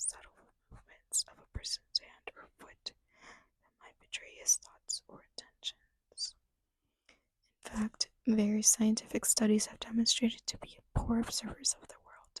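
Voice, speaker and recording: A woman whispers at a moderate pace, her loudness swinging widely, in a dry, close sound with no echo. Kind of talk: reading a book aloud, ASMR. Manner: soft-spoken, light whispering.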